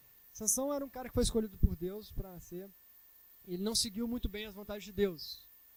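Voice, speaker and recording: Speaking at a very fast pace, a man has a high-pitched voice with a dark, mellow tone. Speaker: preacher. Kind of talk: sermon. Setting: church.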